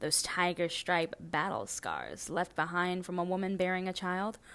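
A woman with a plain, everyday voice speaks at medium pitch and a moderate pace in a very clean recording with a silent background. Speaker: poet. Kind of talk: spoken-word poetry reading, original poem. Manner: measured, reflective; rhetorical, building by repeated questions.

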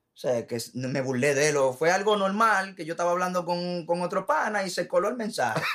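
Against noticeable background noise, a man with a high pitch talks at a fairly quick pace with lively intonation. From Puerto Rico and Dominican Republic. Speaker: musician and sound technician. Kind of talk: casual interview.

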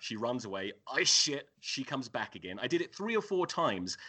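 A man's medium-pitched voice at a moderate pace, with very wide pitch swings, vocal fry and hardly any pauses. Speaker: rugby podcaster. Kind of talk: casual chat.

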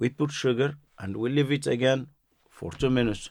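In a Moroccan accent, a man speaks at a fairly slow pace with a medium pitch and fairly even intonation. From Morocco, Marrakesh. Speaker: chef. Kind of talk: interview. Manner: halting.

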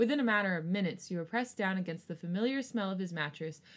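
A quiet woman's voice, fairly low in pitch, at a very fast pace with lively intonation, on a very clean recording with a silent background. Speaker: podcast co-host. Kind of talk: reading fanfiction aloud. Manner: gets quieter while reading sex scenes.

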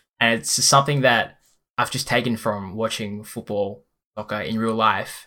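A man of medium pitch talks with an Australian accent and fairly even intonation. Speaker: pro FIFA player. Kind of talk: casual chat. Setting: video call.

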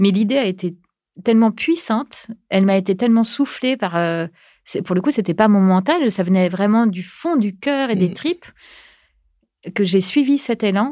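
A woman speaks at a moderate pace with long, frequent pauses and lively intonation. Her medium-pitched voice has a dark, mellow tone, and the recording is very clean with a silent background. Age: 40s. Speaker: podcast creator. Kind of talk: casual interview chat. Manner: hesitant with many fillers and repetitions.

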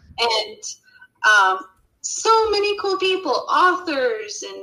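Speaking at a very slow pace, a woman uses a raised, projected voice with very wide swings in pitch. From Utah, US. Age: 30s. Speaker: YouTuber. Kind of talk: casual chat.

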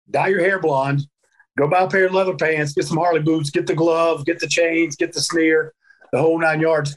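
Talking at a fairly quick pace, a man with a Southern US accent has a high pitch. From US South, North Carolina. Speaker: professional wrestler. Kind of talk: casual interview chat.

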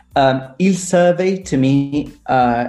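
With a British accent, the voice moves through ordinary pitch variation. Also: man. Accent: near-native British English. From Italy. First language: Italian. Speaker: English teacher and teacher trainer. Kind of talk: casual interview with language tips.

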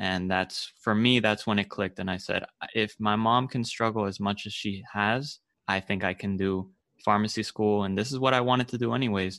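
An unremarkable speaking voice, a man talks at a moderate pace with fairly even intonation over a quiet background. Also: fairly low pitch for a man. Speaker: podcast host. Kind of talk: podcast interview.

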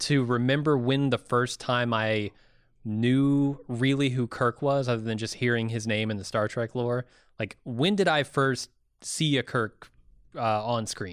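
Recorded very cleanly against a silent background, with a dry, close sound and no echo, a man talks in a normal speaking voice at medium pitch and a fairly slow pace, with ordinary pitch variation. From US (California, then Indiana). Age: 30s. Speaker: podcast co-host. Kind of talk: casual chat.

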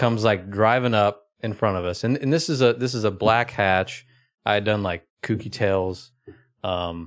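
With an American accent, a man talks at a moderate pace and a fairly low pitch, in a very clean recording with a silent background. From Oklahoma. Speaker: car enthusiast and JDM car flipper. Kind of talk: casual chat. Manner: halting, many fillers.

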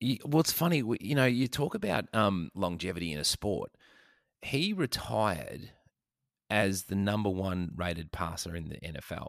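A man with an Australian accent speaks at a moderate pace, his fairly low pitch carrying lively intonation. The recording is very clean, with a silent background. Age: old. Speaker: podcast host. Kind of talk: casual chat.

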